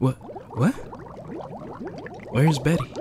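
A man is speaking. Music plays in the background. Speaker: voice actor. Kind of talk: read story. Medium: read story.

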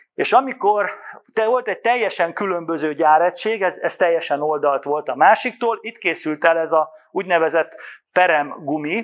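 Pitched high, a man's voice shows ordinary pitch variation. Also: moderate pace. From Hungary. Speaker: business development manager; presenter. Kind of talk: conference presentation. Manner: halting. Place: hall. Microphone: handheld.

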